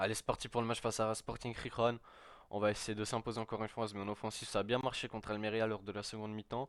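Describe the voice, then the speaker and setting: Talking at a very fast pace, the speaker is captured in a very clean recording with a silent background. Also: man. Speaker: gaming youtuber. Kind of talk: gameplay commentary. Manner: stammering.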